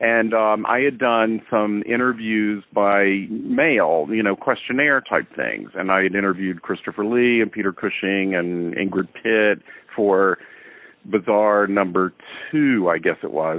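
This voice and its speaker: A man with an American accent speaks at a fairly slow pace in a normal speaking voice. His pitch is fairly low and varies in an ordinary way. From US South. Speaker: film director. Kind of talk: interview. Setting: remote call.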